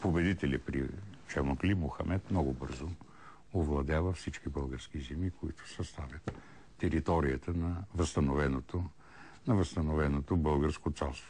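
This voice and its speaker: A man's very deep, low voice with a dark, mellow tone, vocal fry, fairly even intonation and a fairly slow pace. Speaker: TV history show host. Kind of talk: answering viewer questions. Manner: hesitant with repetitions.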